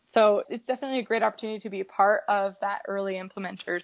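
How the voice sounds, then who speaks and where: The pace is very fast. A woman speaks at medium pitch. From Colorado. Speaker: kindergarten teacher. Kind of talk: casual interview.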